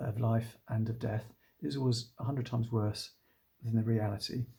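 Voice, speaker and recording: A man with a British accent speaks at a moderate pace and medium pitch. His tone is dark, mellow and somewhat breathy, with fairly even intonation. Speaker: doctor. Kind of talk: informational talk to camera. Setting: at home. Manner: calm.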